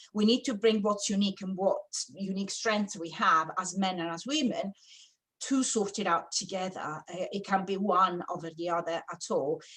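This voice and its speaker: With an Italian accent, a woman speaks at a moderate pace and medium pitch with ordinary pitch variation. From Italy. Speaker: architect and sustainability consultant. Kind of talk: webinar presentation. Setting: online webinar. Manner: hesitant, with many fillers.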